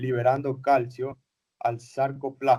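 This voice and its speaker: A normal speaking voice from a man, fairly high in pitch, at a fairly slow pace. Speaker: teacher. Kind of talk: lecture.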